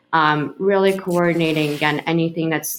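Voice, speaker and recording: A woman with a Russian accent speaks in a very deep, low pitch. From Ukraine, Kharkiv; moved to New York at 10. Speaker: healthcare executive. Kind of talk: interview. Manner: hesitant, many fillers.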